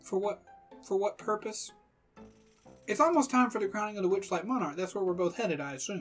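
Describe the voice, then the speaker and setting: In a put-on character voice that is nasal and fairly high-pitched, the speaker moves at a fairly quick pace but takes long, frequent pauses, with faint music in the background. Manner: polite, cautious, earnest.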